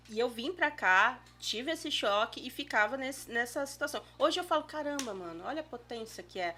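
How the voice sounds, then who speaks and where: In a Cearense accent, a woman speaks at a moderate pace with a high pitch, lively intonation, big swings in loudness and hardly any pauses. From Ceará, Brazil.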